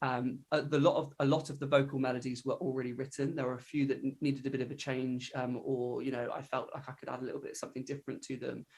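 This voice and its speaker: Talking at a very fast pace, a man with a fairly high, somewhat breathy voice keeps a monotone, flat intonation. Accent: West Country. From England, Devon. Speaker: countertenor singer. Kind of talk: interview answer. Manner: casual, hesitant with fillers.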